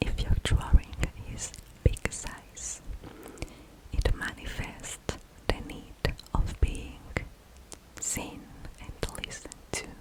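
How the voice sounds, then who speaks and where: Whispering at a very slow pace, a woman leaves long, frequent pauses. Her loudness swings widely, and there is noticeable background noise. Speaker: ASMR creator. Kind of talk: explaining a psychological drawing test. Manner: slow, hesitant, with pauses and fillers.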